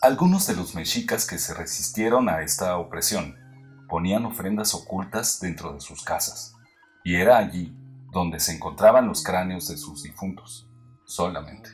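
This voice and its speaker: With music in the background, a man speaks at a moderate pace in a very deep, low pitch with ordinary pitch variation. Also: big swings in loudness. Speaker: narrator. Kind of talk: educational history narration.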